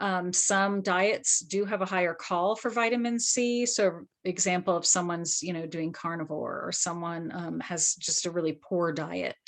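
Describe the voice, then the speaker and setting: An ordinary speaking voice from a woman, fairly low in pitch, with ordinary pitch variation, at a moderate pace with hardly any pauses. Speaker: skincare brand founder. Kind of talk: live webinar Q&A.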